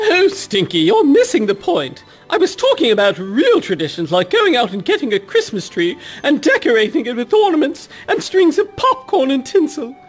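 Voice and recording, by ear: A put-on character voice, high in pitch, moves at a moderate pace with very wide pitch swings.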